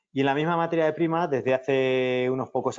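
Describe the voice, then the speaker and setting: Here a man talks at a moderate pace. His pitch sits in the medium range. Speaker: engineer, company representative. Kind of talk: technical webinar lecture. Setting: virtual conference. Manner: frequent filler hesitations (eh).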